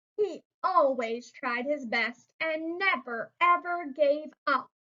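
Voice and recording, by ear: Her tone bright and sharp, a woman speaks slowly at a high pitch with ordinary pitch variation.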